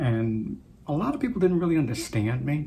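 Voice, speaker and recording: In an American accent, a man talks at a moderate pace with lively intonation amid audible room echo. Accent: American accent, switches to Trinidadian. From Trinidad. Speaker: video blogger. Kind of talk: casual monologue. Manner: halting.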